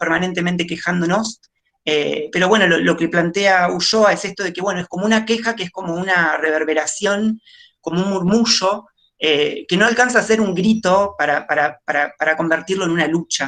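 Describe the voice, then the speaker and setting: A woman's fairly low voice at a fairly quick pace with ordinary pitch variation. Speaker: nurse. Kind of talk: panel talk. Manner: fast; hesitant with fillers.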